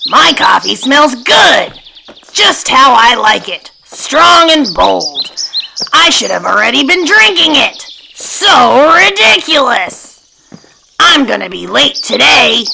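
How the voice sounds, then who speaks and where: A female-sounding voice uses a put-on character voice. It is high-pitched and moves at a fairly slow pace. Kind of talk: bedtime story reading.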